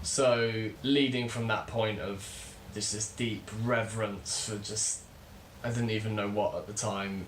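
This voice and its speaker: With audible room echo and noticeable background noise, a man with a British accent speaks fairly slowly at a fairly low pitch with fairly even intonation. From UK. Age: 20s. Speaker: spiritual teacher, channel host. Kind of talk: casual vlog monologue.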